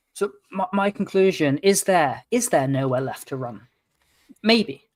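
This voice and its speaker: A man speaks in a British accent with a high pitch. His pace is fairly slow. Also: lively intonation. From England (London). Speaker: podcast co-host. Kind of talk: casual political discussion.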